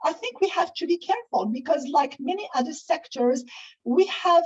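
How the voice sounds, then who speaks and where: A woman with a French accent and lively intonation. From France, of North African origin. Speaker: information science professor. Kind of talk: academic seminar talk. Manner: halting, many fillers.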